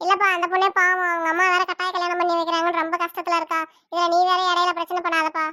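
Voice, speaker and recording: A woman performs a cartoonish character voice at an extremely high pitch with monotone, flat intonation. The recording is very clean, the background silent. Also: fairly quick pace. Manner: warm, motherly, persuasive.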